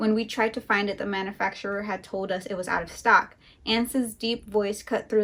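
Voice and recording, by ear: Someone reads aloud with a natural voice. The intonation is fairly even.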